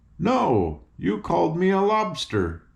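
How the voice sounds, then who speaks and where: Putting on a character voice, a man speaks at a fairly slow pace. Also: fairly high pitch for a man. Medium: read story. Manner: stubborn, petulant.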